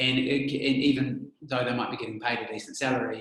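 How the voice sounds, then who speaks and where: Here a man talks at a very fast pace. He has a New Zealand accent. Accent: Kiwi. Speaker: immigration adviser. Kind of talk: casual discussion.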